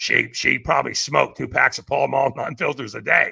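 A man's raspy, put-on character voice at a fairly quick pace

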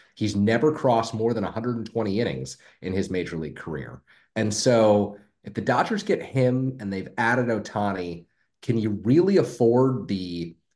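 This man has an unremarkable speaking voice with an American accent and a medium pitch. His intonation is lively and his pace fairly slow. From San Francisco, US. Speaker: sports podcast co-host. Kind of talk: casual chat.

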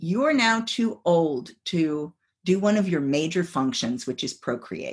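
A woman at a fairly low pitch with very wide pitch swings, at a fairly slow pace, over a quiet background. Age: 50s. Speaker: psychologist and sex coach. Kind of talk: casual chat.

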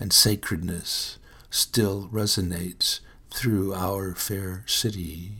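At a very slow pace, a man with a low pitch and a bright, sharp tone keeps his intonation fairly even.

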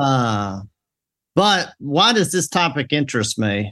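A man with a Mississippi accent and a bright, sharp tone, at a fairly slow pace with very wide pitch swings, in a dry, close sound with no echo over a quiet background. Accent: Southern US (Mississippi). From US South, Mississippi. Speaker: pastor. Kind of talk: casual panel discussion.

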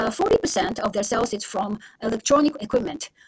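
In a Japanese accent, a woman speaks at a fairly quick pace with ordinary pitch variation. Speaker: stock podcast host. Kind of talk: solo podcast monologue. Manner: halting, many fillers.

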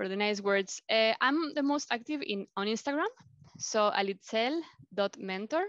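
With a Mexican accent, a woman talks at a moderate pace in a fairly high voice with lively intonation, the sound dry and close with no echo. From Mexico City. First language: Spanish. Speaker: life coach. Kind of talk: interview. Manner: halting.

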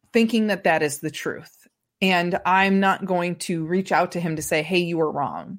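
In an American accent, a woman with an ordinary speaking voice talks at a moderate pace with fairly even intonation on a very clean recording with a silent background. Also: fairly low pitch for a woman. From US Midwest, rural Indiana. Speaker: stand-up comedian. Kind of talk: casual interview.

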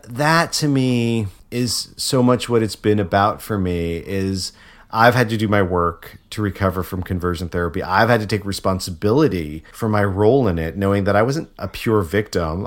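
A plain, everyday voice: a man with an American accent, fairly low pitch, ordinary pitch variation and a moderate pace, on a very clean recording with a silent background. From Connecticut, US. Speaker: actor and activist. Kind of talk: interview conversation.

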